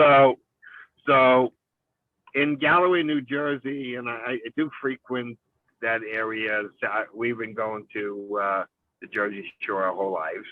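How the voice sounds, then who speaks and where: A man's medium-pitched voice in a New York accent, fairly slow, with ordinary pitch variation and long, frequent pauses. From New York City, Brooklyn. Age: 60s. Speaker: business partner, Christmas tree farm owner. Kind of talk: podcast interview.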